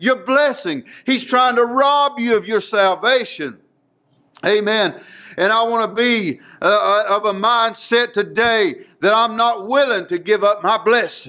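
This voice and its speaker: Over a quiet background, a man uses a raised, projected voice at a fairly slow pace, with very even loudness and ordinary pitch variation. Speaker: preacher. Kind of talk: sermon. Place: church. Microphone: podium.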